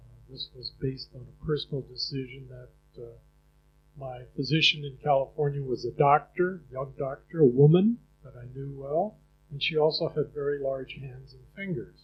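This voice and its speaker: Somewhat breathy, a man with an American accent speaks at a fairly high pitch and a moderate pace, with big swings in loudness. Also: ordinary pitch variation. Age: 80s+. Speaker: patient. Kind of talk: testimony.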